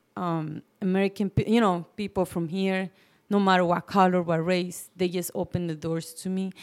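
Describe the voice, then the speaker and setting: In a Mexican accent, a woman of medium pitch speaks at a moderate pace with flat, monotone intonation. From Mexico City. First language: Spanish. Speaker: business owner. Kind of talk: interview.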